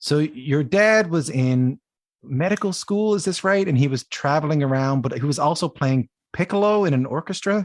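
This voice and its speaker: A man with a Newfoundland accent speaks at a moderate pace, his fairly high voice carrying lively intonation and very even loudness. The sound is dry and close with no echo, against a quiet background. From Newfoundland, Canada. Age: 30s. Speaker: podcast host. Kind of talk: podcast intro and interview.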